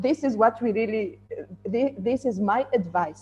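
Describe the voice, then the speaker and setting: With a non-native accent, a woman speaks at a fairly slow pace in very wide pitch swings while music plays in the background. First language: not English. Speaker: woman in tech. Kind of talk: panel discussion. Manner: halting.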